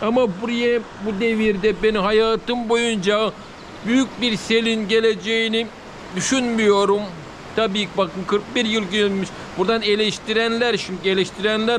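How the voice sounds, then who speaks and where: A man with a high-pitched voice talks at a fairly slow pace in a monotone, flat intonation, keeping his loudness very even over noticeable background noise. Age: 40s. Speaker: village vlogger. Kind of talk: casual vlog talk to camera. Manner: halting.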